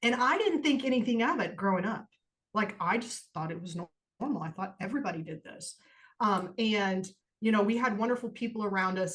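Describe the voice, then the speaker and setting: Speaking at a fairly quick pace, a woman uses a somewhat breathy, medium-pitched voice with ordinary pitch variation. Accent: American. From US Midwest. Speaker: podcast co-host. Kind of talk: personal testimony in casual podcast chat. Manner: casual, informal.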